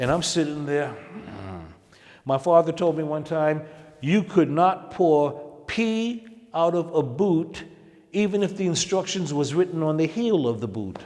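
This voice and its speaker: A man with a New York accent speaks in a fairly high pitch and lively intonation, with noticeable background noise. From Harlem, New York. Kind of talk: interview answer.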